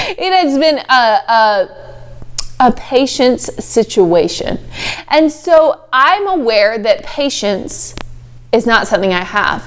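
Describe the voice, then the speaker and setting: With an American accent, the speaker delivers an animated tone with very wide pitch swings at a fairly slow pace, over noticeable background noise. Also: woman. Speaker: life coach and show host. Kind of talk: motivational talk.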